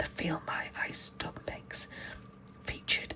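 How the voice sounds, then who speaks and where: Whispering over noticeable background noise. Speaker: ASMR creator. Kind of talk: reading aloud. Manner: soft-spoken.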